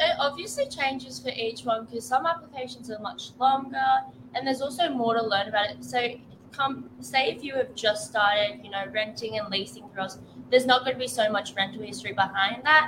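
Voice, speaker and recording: A woman's fairly high voice at a fairly quick pace, with ordinary pitch variation, big swings in loudness and noticeable background noise. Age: young. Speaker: property officer. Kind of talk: casual chat.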